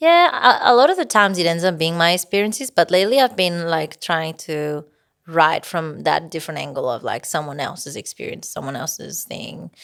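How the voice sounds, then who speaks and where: The speaker has a Spanish accent and talks at a moderate pace. Intonation is lively, with big swings in loudness. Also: woman. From Spain, Barcelona. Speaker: singer-songwriter. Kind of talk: interview. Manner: hesitant, many fillers.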